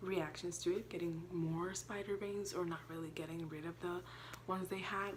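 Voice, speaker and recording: Audible room echo surrounds a woman's voice. She speaks with a fairly low pitch and monotone, flat intonation. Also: moderate pace. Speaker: YouTuber and teacher. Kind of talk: informative vlog. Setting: at home. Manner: hesitant, filler-heavy.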